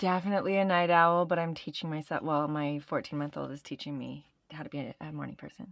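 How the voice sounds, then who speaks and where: Talking at a very fast pace, a woman with a Canadian accent has a very deep, low pitch and fairly even intonation, captured in a very clean recording with a silent background. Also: big swings in loudness. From Canada. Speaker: yoga teacher and astrologer. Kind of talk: podcast interview.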